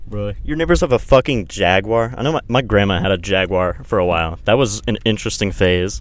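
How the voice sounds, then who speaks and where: Lively intonation and vocal fry carry this fairly quick delivery, which has hardly any pauses. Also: man, fairly low pitch for a man. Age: young. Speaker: podcast host. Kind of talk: casual chat. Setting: in a car.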